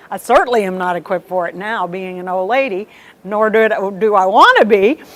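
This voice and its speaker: A woman talks at a fairly quick pace, her loudness swinging widely. Noticeable background noise can be heard. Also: medium pitch for a woman, ordinary pitch variation. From US South, South Texas (Rio Grande Valley). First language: Spanish. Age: 60s. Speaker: retired TV news anchor. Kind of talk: interview.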